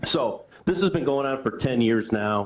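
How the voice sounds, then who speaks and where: Over noticeable background noise, the speaker keeps a moderate pace and ordinary pitch variation. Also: man. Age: 60s. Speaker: resident speaking at public comment. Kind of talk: public comment at council meeting. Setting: village board meeting room. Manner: halting.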